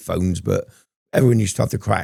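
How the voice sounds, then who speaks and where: A man talks with a dark, mellow tone and lively intonation at a fairly low pitch. Vocal fry runs through his voice. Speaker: former prisoner. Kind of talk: casual interview storytelling. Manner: animated.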